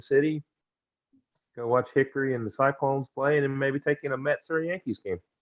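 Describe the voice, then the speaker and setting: Speaking with a Southern US accent, a man's voice sits fairly high in pitch. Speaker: podcast co-host. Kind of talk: casual chat.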